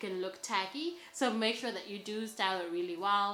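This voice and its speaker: A woman talks at a medium pitch with a non-native accent. There is audible room echo. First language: not English. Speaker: fashion vlogger. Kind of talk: styling tutorial. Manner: casual, filler-heavy (lots of 'like'); enthusiastic.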